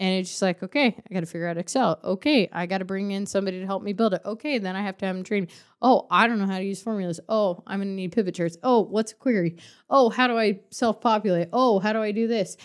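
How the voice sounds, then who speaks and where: At a very fast pace, a woman talks with medium pitch and ordinary pitch variation, her voice dry and close with no echo on a very clean recording with a silent background. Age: 30s. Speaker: podcast co-host. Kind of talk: casual chat. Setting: studio.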